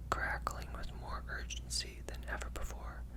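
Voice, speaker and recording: Over noticeable background noise, a whisper moves along at a moderate pace. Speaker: ASMR creator. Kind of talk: read horror story. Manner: whispered.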